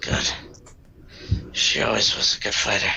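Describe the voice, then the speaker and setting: Over light background noise, a man performs a put-on character voice. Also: moderate pace. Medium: actual play.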